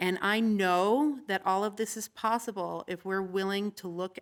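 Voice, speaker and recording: A woman with an American accent and a medium pitch talks at a fairly slow pace in an ordinary speaking voice with fairly even intonation, on a very clean recording with a silent background. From Colorado, Littleton. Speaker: city council candidate. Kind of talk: candidate forum speech.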